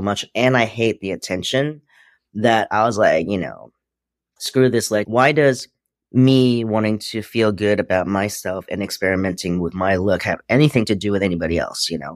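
A man with a normal speaking voice and fairly low pitch speaks at a moderate pace with ordinary pitch variation, in a very clean recording with a silent background. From US, Queens, New York. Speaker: footwear designer and entrepreneur. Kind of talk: interview.

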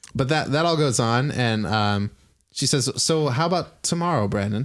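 A man speaks at a fairly slow pace with ordinary pitch variation. His loudness stays very even. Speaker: game master running the tabletop RPG session. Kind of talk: casual tabletop roleplaying game narration and chat. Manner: casual, filler-heavy, hesitant, with frequent laughs.

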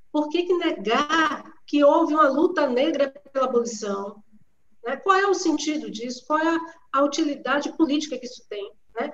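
Loudness swings a lot here, with ordinary pitch variation at a moderate pace. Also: woman, high pitch for a woman. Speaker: historian. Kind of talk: online panel discussion. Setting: video call from home.

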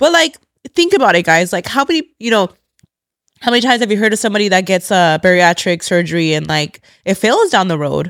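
A woman with an American accent talks at a very fast pace in a medium pitch, her tone animated and her intonation lively. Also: very clean recording, silent background. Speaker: podcast host. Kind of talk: casual chat.

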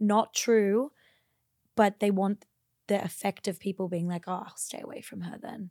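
A woman with an Australian accent speaks at a medium pitch and a moderate pace, her tone dark and mellow and her intonation fairly even, with long, frequent pauses and big swings in loudness. The sound is dry and close with no echo, on a very clean recording with a silent background. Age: 20s. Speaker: former midwife, social media creator. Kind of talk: casual chat.

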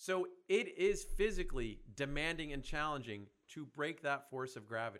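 Here a man speaks in an ordinary speaking voice with a fairly high pitch. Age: 50s. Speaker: fitness business founder. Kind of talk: casual chat.

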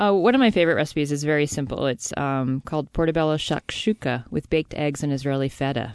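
With an American accent, the speech races along at a very fast pace, with lively intonation and hardly any pauses. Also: woman, very deep, low pitch for a woman. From New Jersey. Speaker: chef and cookbook author. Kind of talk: casual radio interview.

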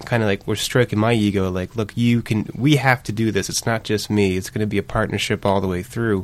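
Moving at a fairly quick pace, a man with a fairly low pitch uses an unremarkable speaking voice and ordinary pitch variation. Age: 30s. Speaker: business development worker and father. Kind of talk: panel discussion.

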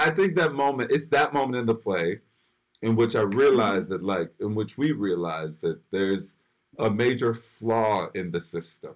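An unremarkable speaking voice from a man with an American accent, medium pitch, moderate pace and lively intonation. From Philadelphia, US. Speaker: actor and writer. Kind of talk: interview.

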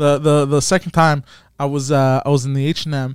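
An ordinary speaking voice with fairly even intonation. The very clean recording has a silent background and a dry, close sound with no echo. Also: man. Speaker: friend of the hosts. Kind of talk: casual chat.

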